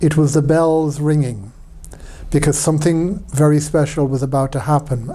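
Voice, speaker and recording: With an Irish accent, a man speaks at a moderate pace in a fairly high pitch, his intonation fairly even. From Ireland. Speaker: priest. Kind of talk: personal testimony talk. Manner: hesitant, many fillers.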